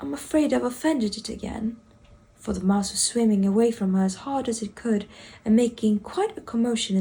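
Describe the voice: The pitch moves with ordinary variation in this plain reading aloud.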